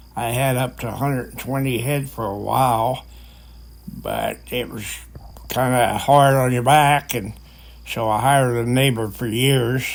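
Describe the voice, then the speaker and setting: A man of medium pitch speaks fairly slowly in a monotone, flat intonation, with audible room echo around him. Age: 80s+. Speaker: retired farmer. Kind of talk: casual reminiscing.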